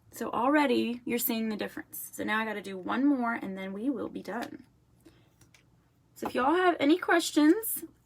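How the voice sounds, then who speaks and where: A woman speaks with a slight Southern accent. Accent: slight southern drawl. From Florida. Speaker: makeup seller. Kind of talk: product demonstration. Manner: chatty.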